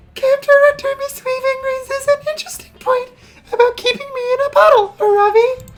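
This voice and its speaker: Music plays in the background as a breathy, put-on character voice at an extremely high pitch moves at a fairly quick pace. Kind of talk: soft, gentle, dreamy. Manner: airy fairy.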